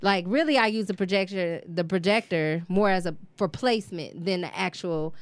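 A woman's medium-pitched voice at a moderate pace with ordinary pitch variation, in a very clean recording with a silent background. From Detroit. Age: 40s. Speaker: muralist, artist. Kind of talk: casual chat.

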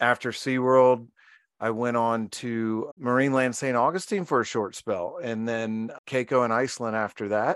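A man with an American accent has an unremarkable speaking voice at a medium pitch. He talks at a moderate pace with fairly even intonation against a quiet background. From Virginia, US. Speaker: marine mammal trainer and author. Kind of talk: interview.

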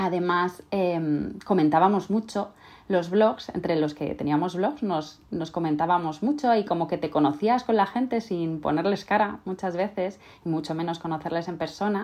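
This woman has a fairly low pitch and ordinary pitch variation. She talks at a moderate pace over a quiet background. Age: 30s. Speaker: podcast host and sewing teacher. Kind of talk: casual monologue. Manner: halting, frequent word repetitions.

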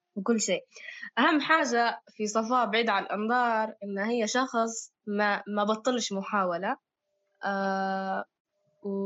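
A woman's fairly high voice in a Libyan accent, at a very slow pace with fairly even intonation. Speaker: podcast co-host. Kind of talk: casual chat.

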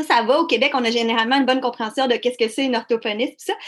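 A woman talks at a high pitch, and its variation is ordinary. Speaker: podcast host. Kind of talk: interview.

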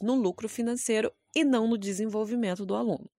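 In a dry, close sound with no echo, a woman talks at a fairly quick pace with a fairly high pitch and a dark, mellow tone. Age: 20s. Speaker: podcast host, photographer and actress. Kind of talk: solo podcast monologue with tips.

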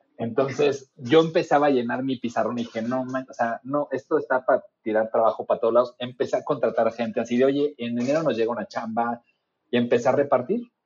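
Using a plain, everyday voice, a man speaks at a fairly quick pace with medium pitch and fairly even intonation. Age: 40s. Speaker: user experience designer. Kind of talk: casual chat.

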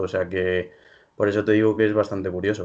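A man with a fairly low pitch and monotone, flat intonation over a quiet background. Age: 20s. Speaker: startup co-founder and university student. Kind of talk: interview. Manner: halting, many fillers.

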